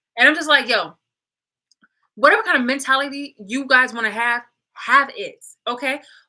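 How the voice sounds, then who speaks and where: The voice is raised and projected, bright and sharp in tone, animated, with big swings in loudness and long, frequent pauses. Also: woman, high pitch for a woman, ordinary pitch variation, moderate pace. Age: 30s. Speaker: vlogger. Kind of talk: personal rant to camera.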